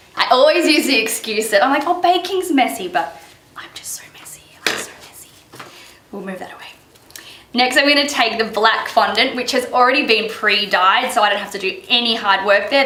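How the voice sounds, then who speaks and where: A woman with a fairly high pitch talks at a moderate pace, with lively intonation, big swings in loudness and long, frequent pauses. Audible room echo and noticeable background noise surround her voice. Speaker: baker. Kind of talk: tutorial.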